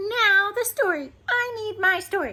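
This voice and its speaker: Putting on a character voice, a woman cackles in a squeaky, extremely high pitch at a fairly slow pace. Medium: read story. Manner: cackling, bossy.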